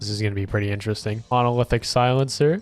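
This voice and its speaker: This voice belongs to a man. It sits at a medium pitch. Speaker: gaming YouTuber. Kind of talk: gameplay commentary; reading patch notes while playing. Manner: casual, animated.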